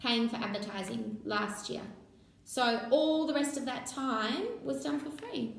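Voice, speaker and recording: Loud and high-pitched, a woman with an Australian accent speaks at a fairly slow pace with lively intonation, with audible room echo. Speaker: social media business owner. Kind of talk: interview webinar. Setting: live online webinar.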